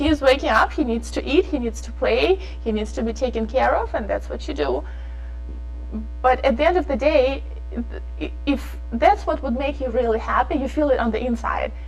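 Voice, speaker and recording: At a moderate pace, a woman with a non-native accent speaks over noticeable background noise. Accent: foreign. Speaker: fashion designer. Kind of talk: interview. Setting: studio. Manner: animated.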